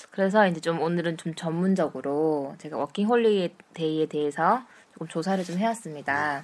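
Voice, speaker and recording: At a moderate pace, a woman with a fairly low pitch and ordinary pitch variation speaks in an ordinary speaking voice. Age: 30s. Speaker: host. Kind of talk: casual chat.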